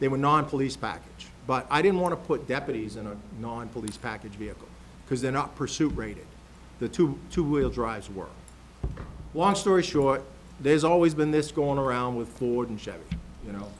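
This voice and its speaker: With lively intonation and big swings in loudness, a man of medium pitch talks at a fairly quick pace, leaving long, frequent pauses, in a room with audible echo. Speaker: county sheriff presenting budget. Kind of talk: budget presentation at public meeting. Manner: fast.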